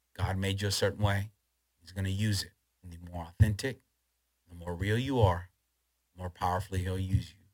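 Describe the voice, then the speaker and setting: A man with a very deep, low pitch keeps his intonation fairly even while his loudness swings a great deal. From Chile, then Los Angeles. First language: Spanish. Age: 40s. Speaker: pastor. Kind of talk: preaching; interview.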